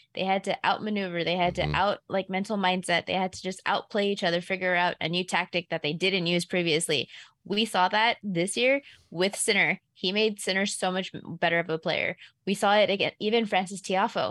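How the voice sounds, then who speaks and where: A woman speaks at a fairly quick pace with fairly even intonation, her pitch medium for a woman, in a plain, everyday voice. The recording is very clean and dry, close with no echo, over a silent background. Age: 30s. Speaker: sports betting analyst. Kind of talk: casual sports chat.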